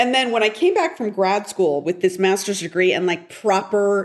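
Speaking at a moderate pace, a woman with an unremarkable speaking voice uses lively intonation at a medium pitch. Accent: American. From US West Coast, Portland, Oregon. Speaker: TV writer and director. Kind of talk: interview.

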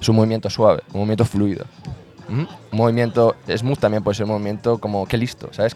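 Amid noticeable background noise, a man talks at a fairly quick pace with a fairly low pitch. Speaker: basketball coach. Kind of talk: casual interview chat. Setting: outdoor basketball court.

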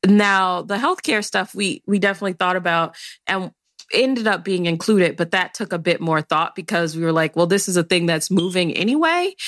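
A normal speaking voice with an American accent and ordinary pitch variation, in a dry, close sound with no echo on a very clean recording with a silent background. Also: woman, medium pitch for a woman, fairly quick pace. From Chicago, South Side. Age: 20s. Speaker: policy director. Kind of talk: interview conversation.

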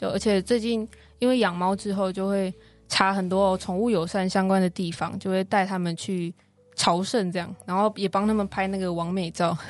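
This woman speaks at a moderate pace with a medium pitch and a monotone, flat intonation. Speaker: singer-songwriter and university student. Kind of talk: interview.

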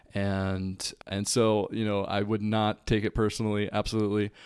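At a fairly slow pace, an ordinary speaking voice comes through on a very clean recording with a silent background. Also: man. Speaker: podcast host. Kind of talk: solo podcast monologue. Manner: reflective, conversational.

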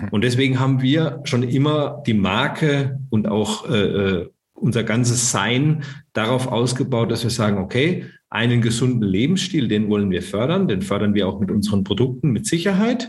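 With a somewhat breathy voice, a man talks at a moderate pace with very even loudness and lively intonation, and audible room echo surrounds him. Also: medium pitch for a man. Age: 40s. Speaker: startup founder. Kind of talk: interview.

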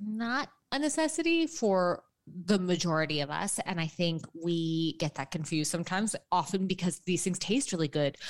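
A woman's plain, everyday voice with an American accent, fairly low in pitch, at a moderate pace with lively intonation. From New York City, lower Manhattan. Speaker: registered dietitian and author. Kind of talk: interview. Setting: remote from home apartment.

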